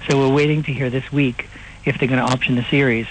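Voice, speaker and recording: A medium-pitched man with an American accent, amid noticeable background noise. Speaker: impersonator and comedian. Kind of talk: interview. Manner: hesitant, many fillers.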